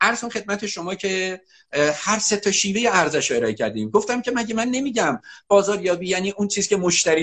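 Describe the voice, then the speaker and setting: A man talks fairly quickly. His voice is pitched high. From Iran, Alamut region of Qazvin province. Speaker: marketing teacher and author. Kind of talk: interview. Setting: Instagram live video stream.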